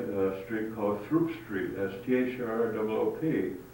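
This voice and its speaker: With a Midwestern American accent and ordinary pitch variation, a man speaks over noticeable background noise. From Hinsdale, Illinois. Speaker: photographer and former newspaper publisher. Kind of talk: oral history interview answer.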